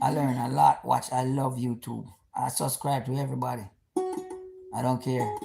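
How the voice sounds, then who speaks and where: A man speaks with a Jamaican accent. His tone is animated. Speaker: YouTuber, military veteran. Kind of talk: casual live-stream monologue. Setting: live stream at home.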